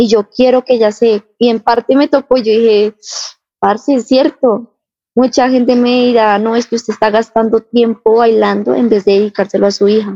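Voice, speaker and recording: A woman speaks at a moderate pace in a fairly high, monotone voice with flat intonation. Her loudness stays very even, and the sound is dry and close with no echo. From Colombia, Bogotá. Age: 20s. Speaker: breakdancer and mother. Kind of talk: interview.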